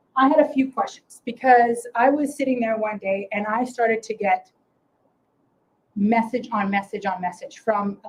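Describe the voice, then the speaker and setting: Fairly high-pitched woman's voice at a moderate pace with ordinary pitch variation. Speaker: property manager presenting at investor meeting. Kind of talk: storytelling presentation. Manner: loud.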